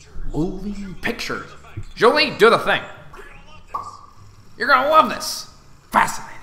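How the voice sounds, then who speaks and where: In a put-on character voice at an extremely high pitch, a man swings his pitch very widely, keeping a moderate pace with long, frequent pauses. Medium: solo performance. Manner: brash, exuberant.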